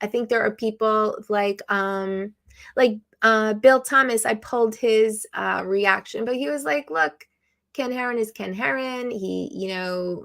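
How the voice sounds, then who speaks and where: The recording is very clean, with a silent background. A woman with an unremarkable speaking voice and a fairly high pitch talks at a fairly slow pace. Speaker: live stream host, drone hobbyist. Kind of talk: casual live stream chat. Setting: live stream.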